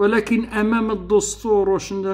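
A man speaks with a Moroccan accent. The background is quiet. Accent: Moroccan Darija. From Morocco. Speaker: political youtuber. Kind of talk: political monologue. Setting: online live room. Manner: animated. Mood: argumentative, indignant. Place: home room. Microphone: webcam.

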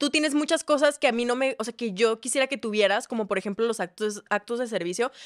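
The speech runs very fast with hardly any pauses. Pitch varies normally against a quiet background. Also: woman, fairly high pitch for a woman. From Mexico, Ciudad Juárez; Mexico. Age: 20s. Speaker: singer-songwriter and content creator; content creator. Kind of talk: casual chat. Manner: animated. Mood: animated gossip storytelling. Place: studio. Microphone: studio mic.

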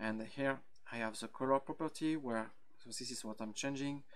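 A man speaks with a French accent. His pitch is medium. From France, Brittany. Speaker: software engineer. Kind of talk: conference talk. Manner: halting, frequent fillers.

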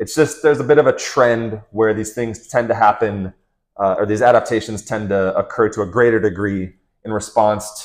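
A man speaks in a normal speaking voice at a fairly low pitch. His pace is moderate, and the background is quiet. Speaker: fitness coach. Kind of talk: lecture. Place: home room. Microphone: lapel.

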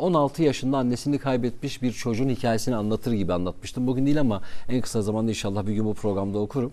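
Speaking with a Kurdish accent, a man has a dark, mellow tone. His pace is very fast and his pitch varies in an ordinary way. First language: Kurdish (speaking Turkish). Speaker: radio presenter; talk show guest. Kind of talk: casual chat. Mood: warm, reflective, smiling. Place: studio. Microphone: lapel.

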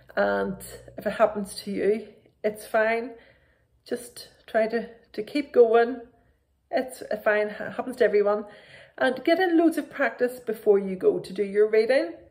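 Slightly mellow and fairly high-pitched, a woman talks at a fairly slow pace with ordinary pitch variation.

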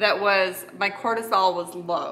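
A woman is speaking. Light background noise sits behind her voice. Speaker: family vlogger. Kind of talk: casual vlog chat with sponsor mention. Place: kitchen. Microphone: phone near.

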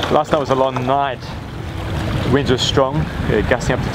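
Loud background noise accompanies a man's voice. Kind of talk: casual vlog chat. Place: boat. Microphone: phone near.

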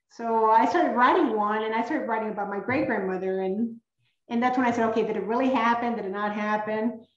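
Very fast and fairly high-pitched, a woman speaks with fairly even intonation, audible room echo and a quiet background. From San Antonio, Texas (born in Coahuila, Mexico); San Antonio, Texas. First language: Spanish. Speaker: children's author. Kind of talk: author talk with slides. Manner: halting, frequent word repetitions. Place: home room. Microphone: webcam.

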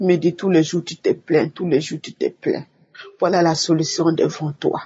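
Monotone and flat in intonation, a woman with a fairly low pitch speaks at a fairly slow pace. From Togo. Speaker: church member giving testimony. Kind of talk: testimony.

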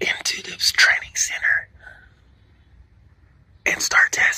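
A man's breathy whispering. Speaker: Marine Corps recruit telling a personal story. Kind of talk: whispered ASMR storytime. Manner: breathy, whispered. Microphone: phone near.

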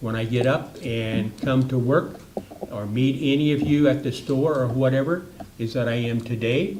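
Medium-pitched male voice at a moderate pace, ordinary pitch variation, with noticeable background noise and audible room echo. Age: 70s. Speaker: city council member, retired teacher. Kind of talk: council meeting debate.

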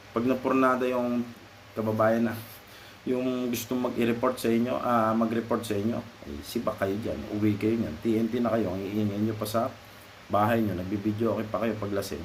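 Man at medium pitch and moderate pace, fairly even in intonation, with audible room echo and noticeable background noise. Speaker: vlogger. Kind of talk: casual advice monologue. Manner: halting.

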